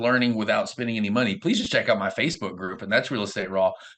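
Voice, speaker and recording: This man speaks with a Southern US accent. His pitch swings very widely. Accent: southern US drawl. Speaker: real estate investor and coach. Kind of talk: interview. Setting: video call.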